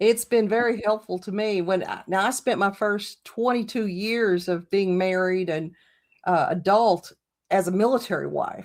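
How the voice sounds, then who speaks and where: A woman's ordinary speaking voice, medium in pitch, at a moderate pace with fairly even intonation. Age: 60s. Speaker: witchcraft channel host. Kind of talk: interview. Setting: in person, same room.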